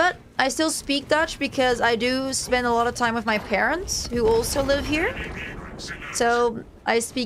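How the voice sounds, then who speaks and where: Over noticeable background noise, a woman talks at a moderate pace in a high-pitched voice. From Netherlands, moved to New Zealand at about seven. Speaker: gaming streamer. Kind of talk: casual gameplay chat.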